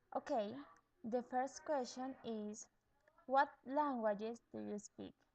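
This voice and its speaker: With a Latin American accent, a woman talks at a very slow pace in a high voice, using fairly even intonation and long, frequent pauses. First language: Spanish. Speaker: bilingual education student. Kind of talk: video blog tag answering questions. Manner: halting, with hesitations.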